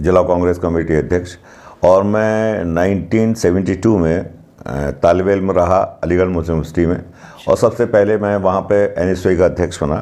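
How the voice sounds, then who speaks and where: A man speaks in a very deep, low pitch. His intonation is fairly even. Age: 60s. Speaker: local party politician. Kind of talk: interview.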